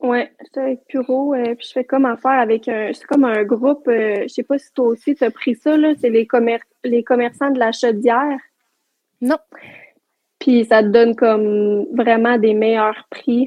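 A woman speaks fairly slowly in a high pitch with fairly even intonation. Her loudness swings widely, and she pauses often and at length. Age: 20s. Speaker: entrepreneur. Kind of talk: casual chat.

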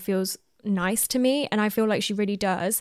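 Here is a woman with a plain, everyday voice, medium in pitch and with ordinary pitch variation. The recording is very clean, with a silent background. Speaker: podcast host. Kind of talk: casual chat.

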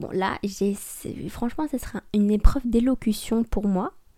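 Mumbling at a fairly slow pace, a woman speaks at a medium pitch with a dark, mellow tone and fairly even intonation. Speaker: podcast host. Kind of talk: solo casual monologue. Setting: home recording with microphone.

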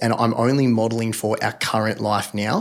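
In a very clean recording with a silent background, a man with an Australian accent talks at a moderate pace, his medium-pitched voice fairly even in intonation. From regional Victoria, Australia. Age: 30s. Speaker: personal finance blogger and podcaster. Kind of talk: casual interview chat.

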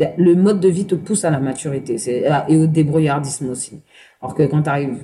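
A woman with a very deep, low pitch and a dark, mellow, somewhat breathy tone speaks at a fairly quick pace, with long, frequent pauses. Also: ordinary pitch variation. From Paris banlieue, Seine-Saint-Denis. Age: 30s. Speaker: interview guest sharing life story. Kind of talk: personal testimony. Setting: bar.

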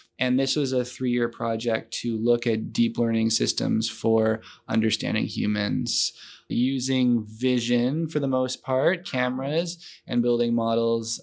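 Against a quiet background, a man with a Canadian accent speaks fairly slowly at medium pitch, his intonation fairly even and his loudness very even, in an unremarkable speaking voice. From London, Ontario, Canada. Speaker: machine learning professor. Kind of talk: interview.

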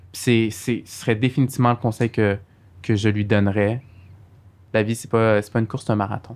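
Heard in a very clean recording with a silent background, a man at medium pitch speaks in a monotone, flat intonation at a moderate pace, with big swings in loudness and long, frequent pauses. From Montreal, Quebec (Saint-Michel). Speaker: lawyer. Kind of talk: interview.

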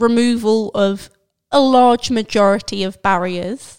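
At a very slow pace, a woman talks in a playful tone with ordinary pitch variation. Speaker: podcast host. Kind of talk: casual chat. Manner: playful, joking.

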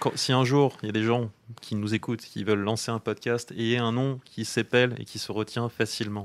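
A man with a normal speaking voice, medium pitch and a fairly quick pace. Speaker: children's story author and podcaster. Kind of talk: casual chat.

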